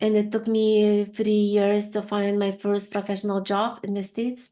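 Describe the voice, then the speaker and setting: A woman speaks at a moderate pace with a medium pitch. The background is quiet. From Lithuania. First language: Lithuanian. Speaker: HR consultant and career coach. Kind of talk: interview. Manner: hesitant, with fillers.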